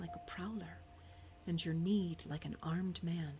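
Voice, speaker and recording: Soft-spoken delivery at a fairly slow pace, with music in the background. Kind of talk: scripture reading.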